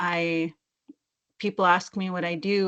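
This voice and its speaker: A woman's fairly low voice with fairly even intonation. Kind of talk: interview conversation. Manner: monotone; halting, searching for words.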